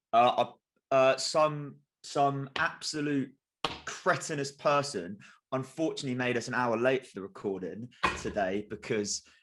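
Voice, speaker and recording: Speaking at a moderate pace, a man's loudness swings widely. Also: medium pitch for a man, ordinary pitch variation. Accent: southern English. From England, Kent. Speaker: sports podcast co-host. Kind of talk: casual chat.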